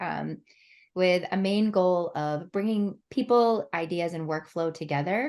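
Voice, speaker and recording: In a quiet background, a woman with an unremarkable speaking voice talks at a fairly slow pace, her medium pitch showing ordinary variation. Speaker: event coordinator. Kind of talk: webinar host introduction.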